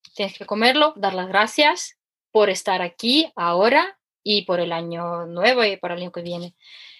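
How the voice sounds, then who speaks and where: With a Ukrainian accent, a woman talks at a moderate pace in a medium pitch, her intonation lively and her loudness swinging widely against a quiet background. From Ukraine. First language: Ukrainian or Russian (speaking Spanish). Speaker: economist and former cooking teacher. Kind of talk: casual interview. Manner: animated; halting.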